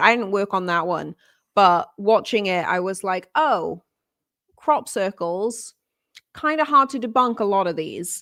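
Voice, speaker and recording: A woman with a British accent, fairly high-pitched, at a moderate pace with lively intonation, on a very clean recording with a silent background. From United Kingdom. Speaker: livestream co-host. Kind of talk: casual livestream chat.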